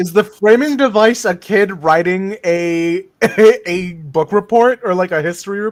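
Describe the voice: A plain read-aloud delivery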